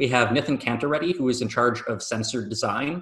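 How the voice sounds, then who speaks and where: With an American accent, a man with an ordinary speaking voice talks at a fairly quick pace, medium in pitch and with ordinary pitch variation. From Michigan, US. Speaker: professor, engineering researcher. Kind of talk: interview.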